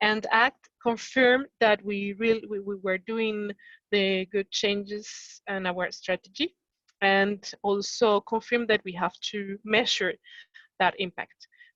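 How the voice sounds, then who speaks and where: In a French accent, a woman talks at a fairly slow pace with fairly even intonation and a dry, close sound with no echo. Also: medium pitch for a woman. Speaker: company sustainability representative. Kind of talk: workshop discussion. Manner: halting.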